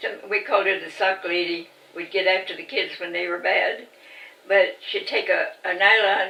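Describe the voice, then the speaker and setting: A woman at a moderate pace, fairly even intonation, noticeable background noise. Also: medium pitch for a woman. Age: 80s+. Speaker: rancher. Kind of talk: interview answer.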